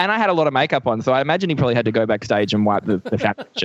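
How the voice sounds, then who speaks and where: At a very fast pace, a man with medium pitch speaks with very wide pitch swings in a dry, close sound with no echo. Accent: Australian. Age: 20s. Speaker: comedian. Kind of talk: casual chat. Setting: video call.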